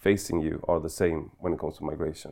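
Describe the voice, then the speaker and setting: A man with a Swedish accent has a dark, mellow tone and fairly even intonation. The background is quiet. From Sweden. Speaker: political blogger and podcaster. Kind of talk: interview. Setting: studio. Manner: halting.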